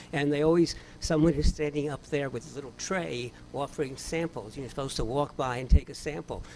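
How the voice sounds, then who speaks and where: At a fairly quick pace, a man with an American accent talks in a fairly high pitch with a dark, mellow tone and ordinary pitch variation. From New York City, the Bronx. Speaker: cognitive scientist. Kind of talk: memorial speech. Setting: memorial event with audience.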